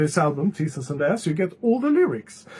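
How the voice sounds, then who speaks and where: With a non-native accent, a man speaks using lively intonation. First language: not English. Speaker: music reviewer. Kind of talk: album review vlog. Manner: hesitant, many filler sounds.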